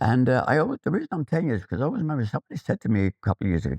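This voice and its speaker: The speaker has an Irish accent, very wide pitch swings and vocal fry. The sound is dry and close with no echo, over a quiet background. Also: man. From Ireland, Athy, County Kildare. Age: 70s. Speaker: photographer. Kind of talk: interview, personal recollection. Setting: school visit. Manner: halting, repeats words.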